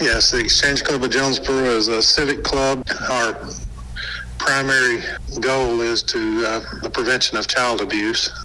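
A man's voice with long, frequent pauses and noticeable background noise. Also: moderate pace. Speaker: civic club representative. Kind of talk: radio interview answers. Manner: hesitant, filler-heavy.

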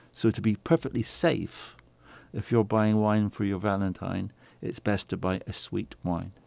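A man with a British accent speaks at a fairly slow pace in a fairly low, dark, mellow tone, on a very clean recording with a silent background. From England. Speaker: winemaker, former doctor. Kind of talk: interview.

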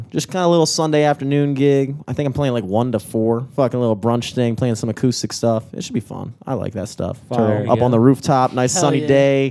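Fairly quick speech with hardly any pauses and ordinary pitch variation. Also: man, medium pitch for a man. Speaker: podcast co-host and gigging musician. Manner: professional-sounding delivery.

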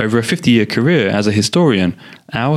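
A man's very fast, lively-toned speech at a fairly low pitch, with noticeable background noise. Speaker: podcast host interviewer. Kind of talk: interview.

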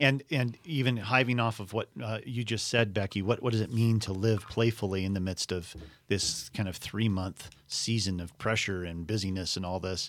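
A man with an unremarkable speaking voice, fairly low pitch and ordinary pitch variation, talking at a moderate pace with hardly any pauses on a very clean recording with a silent background. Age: 50s. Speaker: podcast host. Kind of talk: casual chat.

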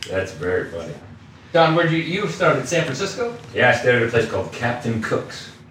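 Very fast speech from a man with a fairly high pitch and very wide pitch swings, over noticeable background noise. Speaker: stand-up comedian. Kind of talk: casual chat. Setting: room at a golf fundraiser.

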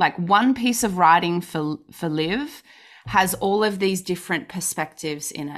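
Using an ordinary speaking voice, a woman speaks fairly slowly at a medium pitch. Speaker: podcast host. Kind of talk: casual interview. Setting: video call.

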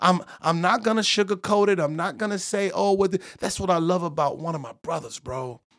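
Talking at a fairly quick pace with hardly any pauses, a man uses a high pitch with ordinary variation. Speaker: preacher, bishop. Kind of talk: casual conversation, preaching tone. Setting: studio.

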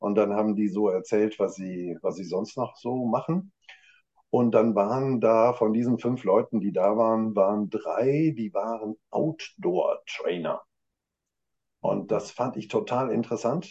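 A man speaks at a fairly slow pace and medium pitch in a dark, mellow tone with ordinary pitch variation. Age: 50s. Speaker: management consultant. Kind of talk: casual chat.

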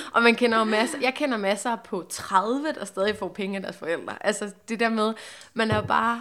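A woman's fairly high voice at a moderate pace, an ordinary speaking voice with ordinary pitch variation. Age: 20s. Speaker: podcast host. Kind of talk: casual chat.

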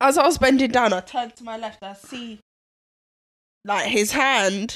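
In a London accent, a woman with a fairly high pitch and ordinary pitch variation speaks with big swings in loudness on a very clean recording with a silent background. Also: moderate pace. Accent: London (MLE). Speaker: podcast co-host. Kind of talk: casual chat. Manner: animated storytelling.

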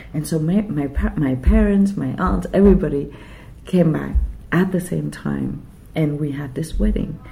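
The voice moves at a moderate pace in a Quebec accent. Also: woman. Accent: Québécois French-accented English. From Vietnam (Saigon), then Quebec from age 10. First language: Vietnamese / French. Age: 50s. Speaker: writer. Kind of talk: interview conversation. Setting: writers' festival venue.

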